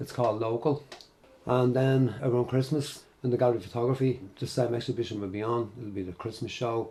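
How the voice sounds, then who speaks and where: A man speaks very fast at a medium pitch. His tone is dark and mellow, and somewhat breathy. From Dublin, Ireland. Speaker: documentary photographer. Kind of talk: interview.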